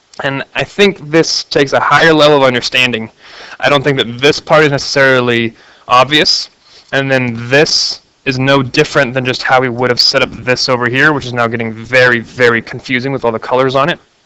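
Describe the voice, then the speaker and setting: Here is a man with an ordinary speaking voice and a medium pitch. He talks at a fairly quick pace with fairly even intonation. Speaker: math teacher. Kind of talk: tutorial.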